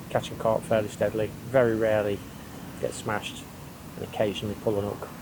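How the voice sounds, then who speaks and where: A man with an English accent speaks at a moderate pace and medium pitch. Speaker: angling vlogger. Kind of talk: casual fishing vlog talk to camera. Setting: outdoors at a pond. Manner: whispering.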